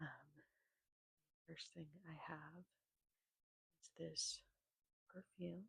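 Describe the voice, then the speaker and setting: A woman whispering in an American accent, soft-spoken and relaxed in tone, with vocal fry, a very slow pace, long, frequent pauses and a dry, close sound with no echo. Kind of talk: ASMR soft-spoken rambling. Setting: home, close microphone. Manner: soft-spoken, whispered, relaxed.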